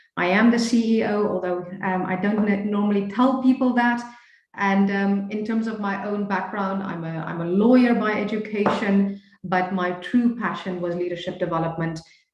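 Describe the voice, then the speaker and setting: With audible room echo, a woman speaks at a moderate pace, her medium pitch carried by fairly even intonation. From Namibia. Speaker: leadership coach. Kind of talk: webinar presentation. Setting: video call.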